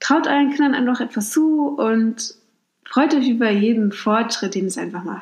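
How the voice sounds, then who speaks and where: Using an ordinary speaking voice, a woman talks with a fairly high pitch. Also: ordinary pitch variation, moderate pace. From Mecklenburg-Vorpommern, Germany. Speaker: podcast host. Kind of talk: casual advice monologue. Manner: conversational, with fillers.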